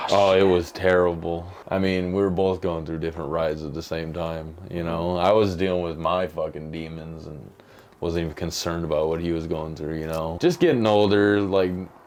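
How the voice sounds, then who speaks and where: There is audible room echo around a man with an American accent. His very deep, low voice stays monotone and flat. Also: moderate pace. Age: 20s. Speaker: interviewee, twin brother. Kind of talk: interview, personal storytelling. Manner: casual, emphatic with swearing.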